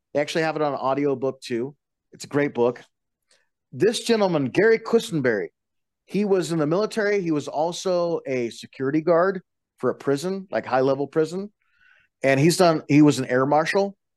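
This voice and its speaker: A man with a plain, everyday voice speaks at a fairly high pitch with lively intonation, the sound dry and close with no echo over a quiet background. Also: fairly quick pace. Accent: American. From Colorado, western slope. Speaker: bus driver and martial arts practitioner. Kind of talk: casual chat.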